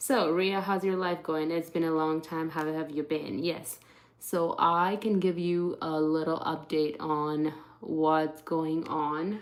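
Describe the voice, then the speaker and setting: At a very slow pace, a woman talks in a fairly low pitch with fairly even intonation. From India. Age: 20s. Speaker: beauty livestreamer. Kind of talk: casual livestream makeup chat. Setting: live stream. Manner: hesitant, many fillers.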